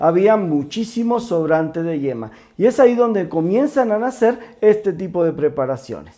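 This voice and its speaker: Over a quiet background, a man with a high pitch speaks at a moderate pace in a dark, mellow tone. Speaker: presenter. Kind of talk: cooking show history explanation. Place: kitchen.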